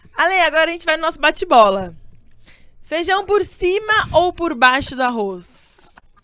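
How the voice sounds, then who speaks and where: A woman's raised, projected voice, extremely high in pitch with a bright, sharp tone, very wide pitch swings and a moderate pace. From São Bernardo do Campo, ABC Paulista, Brazil. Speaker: podcast host. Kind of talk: casual chat. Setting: video call.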